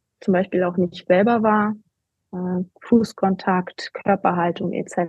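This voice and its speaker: A woman's medium-pitched, somewhat breathy voice, monotone and flat, at a very slow pace. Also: long, frequent pauses. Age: 40s. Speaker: coach and competitive runner. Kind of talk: interview. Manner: halting, many fillers.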